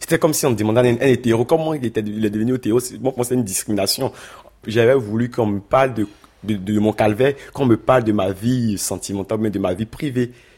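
Speaking at a very fast pace, a man has a medium pitch and a dark, mellow tone. His pitch varies in an ordinary way. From Ivory Coast. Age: 20s. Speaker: asylum seeker. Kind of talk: interview testimony.

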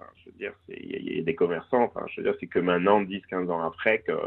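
A man talks at a fairly quick pace. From Corsica (Cervione). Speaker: business professional, cross-border commuter. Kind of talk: radio interview. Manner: halting, many hesitations.

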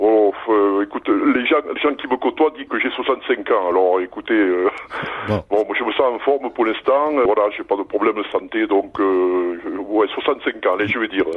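A man at a fairly slow pace and fairly low pitch, with ordinary pitch variation over noticeable background noise. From Roussillon, southern France. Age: 70s. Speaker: mayor. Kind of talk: radio interview. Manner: hesitant, with fillers.

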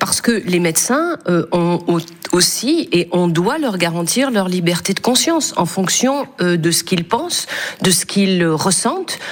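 A woman speaks at a very slow pace in a medium pitch, her loudness very even. Noticeable background noise sits behind her. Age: 50s. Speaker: senator. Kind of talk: radio interview. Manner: halting.

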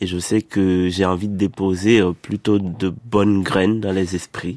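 The speech moves at a very slow pace with a dry, close sound that has no echo. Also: man. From Haiti, Port-au-Prince. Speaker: poet and playwright. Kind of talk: interview.

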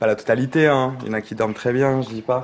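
The man's intonation stays flat and monotone as he talks at a middling speed. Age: 30s. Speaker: nursing assistant. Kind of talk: on-the-job interview. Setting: nursing home.

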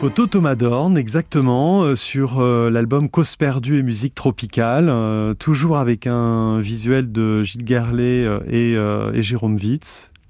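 Speaking at a very slow pace with hardly any pauses, a man with a dark, mellow tone holds a medium pitch, ordinary pitch variation and very even loudness. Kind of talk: radio presentation.

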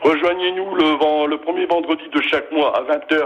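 There is noticeable background noise behind a man speaking with a fairly high pitch. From northern France, near Bapaume (Pas-de-Calais). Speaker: local history association president. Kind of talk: radio interview. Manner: hesitant, many fillers.

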